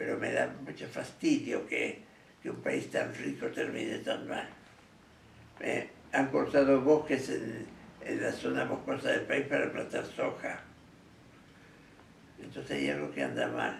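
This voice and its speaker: Over noticeable background noise and audible room echo, a man speaks at a fairly slow pace with long, frequent pauses. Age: 80s+. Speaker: architect. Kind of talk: interview.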